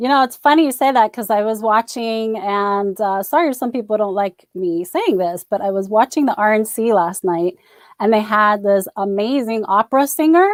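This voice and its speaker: With an American accent, this is a plain, everyday voice at a moderate pace with ordinary pitch variation, hardly any pauses, and dry, close sound with no echo. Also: woman, fairly high pitch for a woman. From New York. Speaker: talk show host. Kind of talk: interview.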